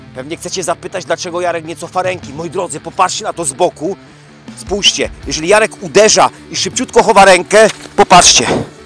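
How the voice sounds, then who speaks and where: Over clear music in the background, a man with a high pitch talks at a very fast pace with big swings in loudness. His pitch variation is ordinary, and the sound is dry with no echo. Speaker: self-defense instructor. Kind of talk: tutorial. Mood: joking, lively. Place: garden.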